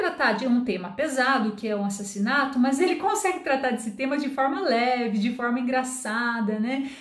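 A woman with a high voice and lively intonation speaks at a moderate pace. The background is quiet, with audible room echo. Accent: Brazilian. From Brazil. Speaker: Portuguese teacher and book reviewer; Portuguese teacher, book reviewer. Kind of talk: book review monologue. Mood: warm, lightly humorous. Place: home room.

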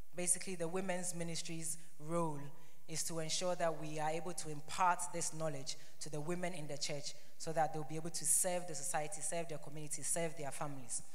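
A woman talks at a fairly quick pace in a very deep, low voice. Her intonation is flat and monotone. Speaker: presenter. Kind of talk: presentation. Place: church. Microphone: handheld.

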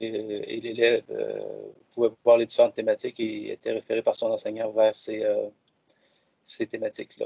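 A man at a moderate pace, dry sound with no echo, quiet background. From Quebec. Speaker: educational technology advisor; presenter. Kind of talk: software demonstration. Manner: halting, repeats words. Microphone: video call.

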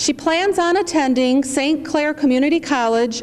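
Over noticeable background noise, a woman with an American accent speaks in a high pitch with lively intonation. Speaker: master of ceremonies. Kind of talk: ceremonial speech. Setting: stage with audience. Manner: formal.

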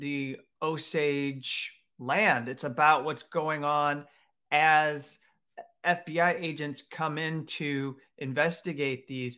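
A man's bright, sharp tone at a very slow pace with fairly even intonation, over a quiet background. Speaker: show host. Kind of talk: commentary. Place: home room. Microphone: webcam.

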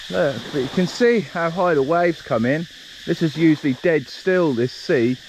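At a moderate pace, a man talks with ordinary pitch variation, the sound dry with no echo and light background noise behind him. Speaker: travel vlogger. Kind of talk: casual vlog chat. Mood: relaxed, cheerful. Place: beach. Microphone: phone near.

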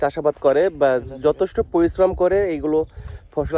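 Dark and mellow in tone, the voice shows ordinary pitch variation in a dry, close sound with no echo. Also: man. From Bangladesh. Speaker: vlogger. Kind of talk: walking vlog narration. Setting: outdoors. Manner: casual.

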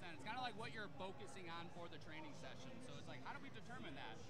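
Very fast speech over loud background noise. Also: man. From US Midwest, Michigan. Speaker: fitness coach with a doctorate. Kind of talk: interview. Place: hall. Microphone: handheld.

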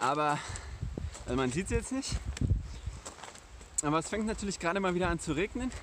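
With lively intonation and a fairly quick pace, a man speaks in a high pitch, the sound dry with no echo but with noticeable background noise. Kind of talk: casual vlog chat. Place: open country. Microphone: phone near.

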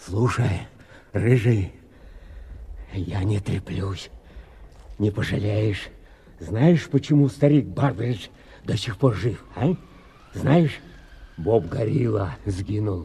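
A man puts on a whiny character voice at a fairly low pitch. He speaks at a fairly slow pace. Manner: pleading, whining.

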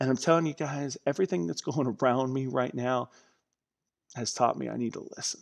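Against a quiet background, a man speaks at a fairly quick pace. His tone is animated, with ordinary pitch variation. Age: 30s. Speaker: pastor. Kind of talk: sermon. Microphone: headset.

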